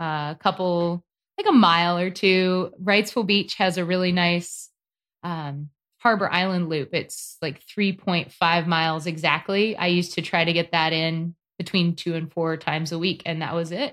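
This is a plain, everyday voice with an American accent and fairly even intonation. The recording is very clean, with a silent background. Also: woman, fairly low pitch for a woman, moderate pace. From North Carolina. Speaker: competitive paddler and athlete. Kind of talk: casual interview.

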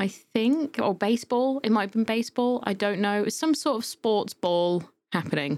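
In a British accent, a woman talks at a moderate pace with fairly high pitch and lively intonation on a very clean recording with a silent background. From UK. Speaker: podcast host. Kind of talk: casual chat.

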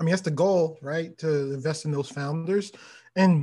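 With an American accent, a man speaks in an unremarkable speaking voice, fairly high-pitched, at a moderate pace with ordinary pitch variation. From US, Baltimore. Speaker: venture capitalist. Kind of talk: interview.

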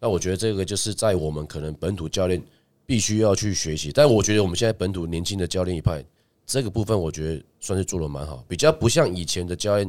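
A man's very deep, low voice at a very fast pace, with ordinary pitch variation, in a very clean recording with a silent background. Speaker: basketball coach and podcast co-host. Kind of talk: casual chat.

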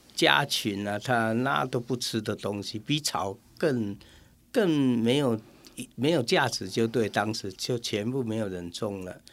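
A man speaks at a fairly slow pace in a normal speaking voice, medium in pitch with ordinary pitch variation, on a very clean recording with a silent background. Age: 60s. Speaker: local councillor and citronella farmer. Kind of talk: radio interview.

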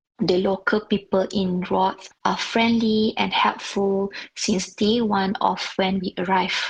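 This woman speaks at a medium pitch. Her voice is somewhat breathy. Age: 40s. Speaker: amateur triathlete. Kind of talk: recorded testimony.

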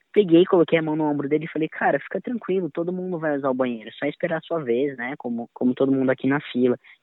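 A man with a fairly high pitch talks at a very fast pace, hardly pausing at all, with ordinary pitch variation. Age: 20s. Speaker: music educator and violinist. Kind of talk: testimony.

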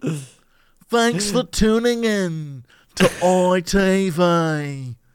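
A put-on character voice, nasal and at a middle pitch. It moves at a very slow pace.

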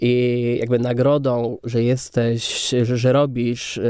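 Noticeable background noise fills the recording. Over it, a man speaks at a medium pitch. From Kędzierzyn-Koźle, Silesia, Poland. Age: 30s. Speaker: film director. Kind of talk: interview conversation.

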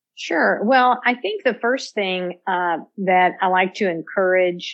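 Very slowly, a woman talks with ordinary pitch variation. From Louisville, Kentucky. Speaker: bourbon taster and industry expert. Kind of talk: casual interview chat.

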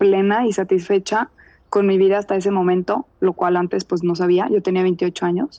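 A woman with a medium pitch speaks at a moderate pace in a plain, everyday voice. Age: 30s. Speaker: contributor sharing personal story. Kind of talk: personal testimony.

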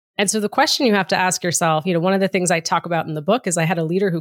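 This woman has an American accent and a fairly low voice. The sound is dry and close with no echo, on a very clean recording with a silent background. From Massachusetts, US (outside Boston). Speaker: diversity executive and author. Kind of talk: interview. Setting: podcast recording.

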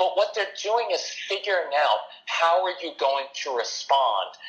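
A man talks at a fairly slow pace while noticeable background noise continues behind him. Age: 50s. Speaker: parenting educator, founder of a parenting organization. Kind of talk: interview.

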